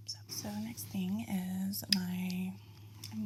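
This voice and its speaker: Amid noticeable background noise, a woman speaks in a relaxed tone with monotone, flat intonation. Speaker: ASMR artist running an ASMR spa. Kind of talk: casual soft-spoken talk to camera, get ready with me. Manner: soft-spoken, relaxed, chatty.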